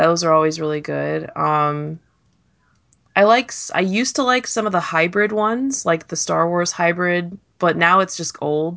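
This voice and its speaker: This woman has a plain, everyday voice, fairly low in pitch, with ordinary pitch variation and a moderate pace. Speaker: panelist. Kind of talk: casual chat.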